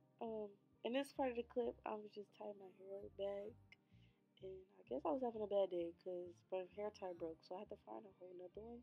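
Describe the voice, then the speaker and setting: Speaking at a fairly quick pace, a woman shows ordinary pitch variation and big swings in loudness. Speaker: beauty vlogger. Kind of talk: casual vlog chat.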